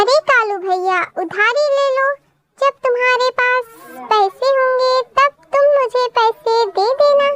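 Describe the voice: A woman puts on a squeaky, cartoonish character voice at an extremely high pitch. She speaks at a fairly slow pace.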